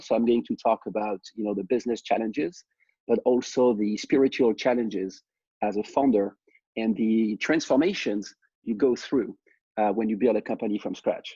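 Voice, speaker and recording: A man's medium-pitched voice with a dark, mellow tone and a French accent, in a dry, close sound with no echo. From France. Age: 30s. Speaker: startup founder. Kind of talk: personal story talk.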